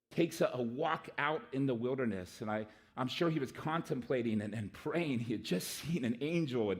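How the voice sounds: A natural reading voice. Nothing more is noted.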